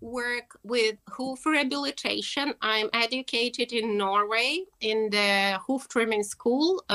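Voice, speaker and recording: A woman with a Russian accent speaks at a very slow pace with hardly any pauses, a fairly high pitch and lively intonation. Her tone is bright and sharp, and the sound is dry and close with no echo. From Russia, Moscow. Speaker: horse keeper and equine therapist. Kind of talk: interview. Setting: video call.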